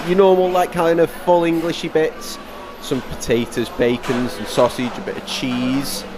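A man talks at a fairly slow pace with ordinary pitch variation. Noticeable background noise can be heard. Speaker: travel vlogger. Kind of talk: casual walkthrough commentary. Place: cafe. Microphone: phone near.

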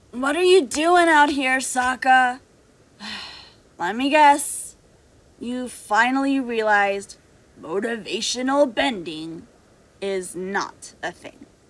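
A high-pitched woman's voice at a fairly slow pace, with very wide pitch swings, big swings in loudness and long, frequent pauses, on a very clean recording with a silent background. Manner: gruff, teasing, bossy.

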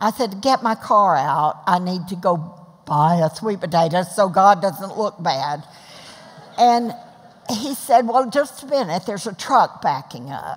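A woman with an American accent, fairly slow in pace, with very wide pitch swings. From Texas. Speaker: mother of the host, retired food bank founder; mother of the host. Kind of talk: interview in front of a class audience. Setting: church class with live audience. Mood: warm, lively storytelling. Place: stage. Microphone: headset.

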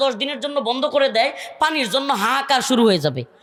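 A man speaks in a raised, projected voice with an extremely high pitch. Noticeable background noise is present. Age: 30s. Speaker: Islamic preacher. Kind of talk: sermon.

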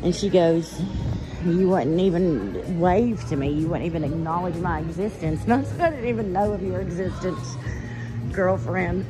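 Moderate-paced speech over clear background music. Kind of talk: casual vlog chat. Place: shop. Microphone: phone near.

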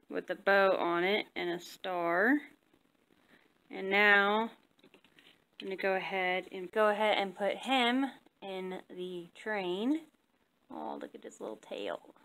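Long, frequent pauses break up speech at a very slow pace. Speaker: vlogger. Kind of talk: casual vlog chat. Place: home room. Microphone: phone near.

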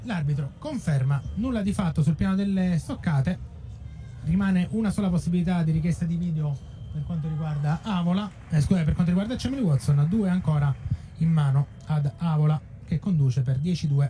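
Talking at a fairly quick pace, a man with an ordinary speaking voice has a fairly high pitch and ordinary pitch variation. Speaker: fencing commentator. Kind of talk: live sports commentary. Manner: fast, rattling off scores in a steady flow; excited, with a tone that rises at key touches.

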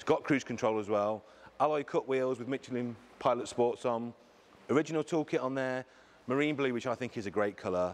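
At a medium pitch, a man talks at a fast pace.

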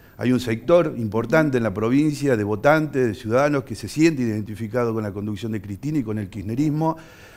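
Using an unremarkable speaking voice, a man of medium pitch speaks at a fairly quick pace with hardly any pauses. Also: ordinary pitch variation. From Argentina, Tucumán (Bellavista); Tucumán, Argentina. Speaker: politician; politician guest. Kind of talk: studio interview. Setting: TV studio. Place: studio. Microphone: headset.

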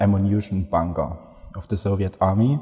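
A man talks in a fairly low voice with music in the background. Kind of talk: interview answer. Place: hall.

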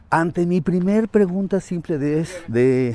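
A dark, mellow tone carries very wide pitch swings. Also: man. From Mexico City. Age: 60s. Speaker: teacher. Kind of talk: casual interview. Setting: outdoors, walking.

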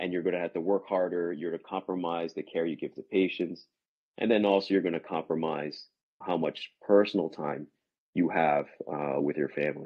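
Against a quiet background, a man with an American accent speaks at a fairly quick pace in a very deep, low pitch with fairly even intonation. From central New Jersey. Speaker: neurologist. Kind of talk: casual interview. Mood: earnest, cautionary. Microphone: video call.

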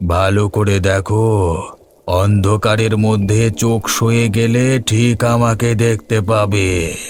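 A man's fairly low, cartoonish character voice at a very slow pace. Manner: soft, eerily friendly.

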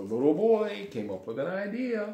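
With a dark, mellow tone, a man speaks at a high pitch with big pitch swings. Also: moderate pace.

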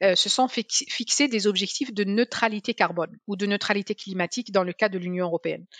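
Medium-pitched speech from a woman at a moderate pace, ordinary pitch variation, a dry sound with no echo and a quiet background. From Algeria, Algiers; Algeria. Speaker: energy policy scientist; guest. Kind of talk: interview. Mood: calm, explanatory, somewhat critical. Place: home room. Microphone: headset.

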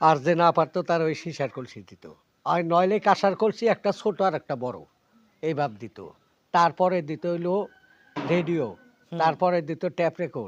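Big swings in loudness run through this man's high-pitched voice, which has ordinary pitch variation and a dry, close sound with no echo. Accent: central Bangladeshi. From Tangail, Bangladesh. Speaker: comedic actor. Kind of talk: interview storytelling.

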